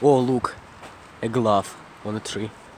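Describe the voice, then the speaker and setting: Against noticeable background noise, a man speaks with a Russian accent. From Russia, Moscow region. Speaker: vlogger. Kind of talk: casual walking vlog. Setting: outdoors at night, walking. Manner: halting, self-correcting.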